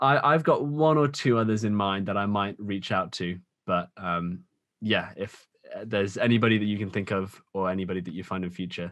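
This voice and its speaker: A man talks at a fairly quick pace with a British accent. His voice is fairly low, with ordinary pitch variation. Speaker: podcast host and small YouTuber. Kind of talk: casual podcast interview.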